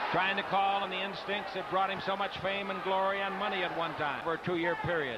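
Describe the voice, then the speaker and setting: Over loud background noise, a man speaks in a raised, projected voice at a high pitch. His tone is animated and his pace fairly quick. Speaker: boxing commentator. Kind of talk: live boxing commentary, play-by-play. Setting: ringside at arena with crowd. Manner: animated, rapid play-by-play calling punches. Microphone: headset.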